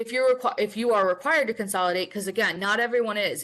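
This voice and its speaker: A woman's bright, sharp voice at a medium pitch against a quiet background. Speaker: professional development specialist, webinar presenter. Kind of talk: webinar presentation. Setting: online webinar. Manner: fast; casual, filler-heavy.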